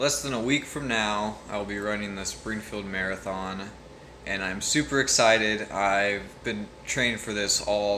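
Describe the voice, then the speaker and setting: A man in a normal speaking voice talks at a fairly low pitch with fairly even intonation over light background noise. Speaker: amateur runner vlogger. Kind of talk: casual vlog chat. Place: home room. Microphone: phone near.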